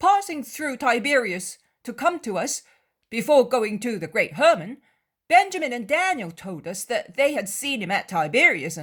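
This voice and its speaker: A put-on character voice, hoarse and fairly high, raised and projected, with very wide pitch swings at a moderate pace, in a very clean recording with a silent background. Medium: read story. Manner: talkative, impulsive.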